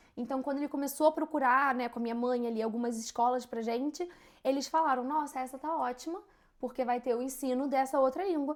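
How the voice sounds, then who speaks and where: This voice moves at a fairly quick pace with fairly even intonation. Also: woman, high pitch for a woman. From Brazil, Rio de Janeiro. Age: 20s. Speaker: podcast co-host. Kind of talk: casual chat.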